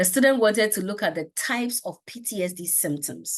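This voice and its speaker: Against a quiet background, a woman with a normal speaking voice talks at a moderate pace with lively intonation. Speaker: research methods lecturer. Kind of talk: lecture.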